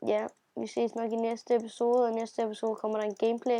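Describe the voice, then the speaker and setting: A woman with a dark, mellow tone speaks at a fairly high pitch. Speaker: gaming youtuber. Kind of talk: casual vlog intro. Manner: hesitant, many fillers.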